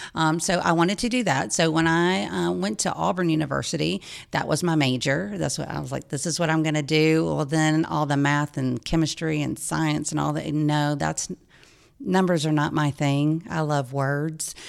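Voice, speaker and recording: A woman with a very deep, low voice speaks with lively intonation on a very clean recording with a silent background. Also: moderate pace. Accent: Southern US. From US South, Georgia (Lawrenceville, Gwinnett County). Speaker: nonprofit executive director. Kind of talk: radio interview. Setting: studio.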